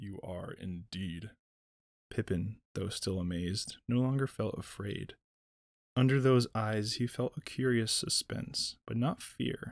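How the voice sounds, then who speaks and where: Pitched fairly low, a man talks with lively intonation in a plain, everyday voice. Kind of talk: sleep story read aloud, dramatic narration with character voices. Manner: unhurried, with long pauses and hypnotic gentle cadence.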